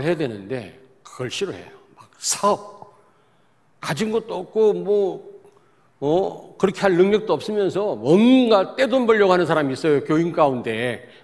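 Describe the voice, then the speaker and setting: With pitch leaping across a very broad range, a man talks rather slowly. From South Korea, Daejeon. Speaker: pastor. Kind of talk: sermon.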